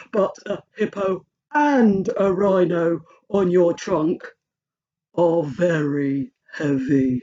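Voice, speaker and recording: Using a put-on character voice at a middle pitch, the speaker moves at a very slow pace with long, frequent pauses. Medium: read story. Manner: hesitant, giggly.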